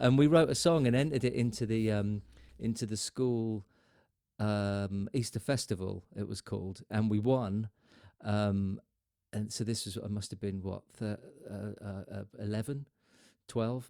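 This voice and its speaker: A man's fairly low, dark and mellow voice at a fairly slow pace, with long, frequent pauses. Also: ordinary pitch variation. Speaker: podcast host and musician. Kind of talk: casual chat.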